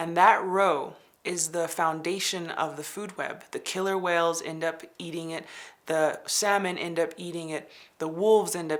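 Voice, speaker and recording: The speaker has a plain, everyday voice and an American accent, keeping a moderate pace and fairly even intonation. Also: woman. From Navajo Nation, US Southwest. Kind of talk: interview talk.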